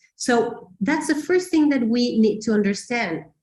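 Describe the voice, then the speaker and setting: The speaker has a non-native accent and a somewhat breathy voice. The intonation is lively and the pace moderate. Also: woman. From Mexico. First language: Spanish. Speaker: teacher trainer. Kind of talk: webinar presentation. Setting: online webinar.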